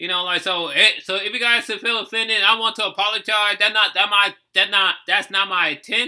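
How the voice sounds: A man speaks in a high voice with an American accent. His tone is bright and sharp. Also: fairly even intonation, moderate pace.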